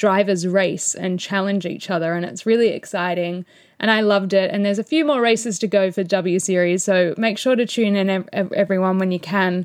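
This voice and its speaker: Moderate-paced speech from a woman, on a very clean recording with a silent background. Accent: Australian. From Australia. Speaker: motorsport podcast host. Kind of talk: solo race review. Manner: animated.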